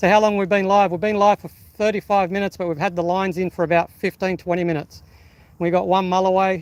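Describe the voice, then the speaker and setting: A loud, high-pitched man with an Australian accent at a fairly quick pace. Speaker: fishing live streamer. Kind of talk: live stream commentary. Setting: outdoors on rocks by the water. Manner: animated.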